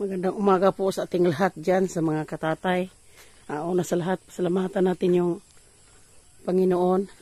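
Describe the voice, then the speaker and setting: A man with a high pitch speaks in a monotone, flat way at a moderate pace. The sound is dry and close, with no echo. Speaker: farm vlogger. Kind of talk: vlog narration. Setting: outdoors on farm.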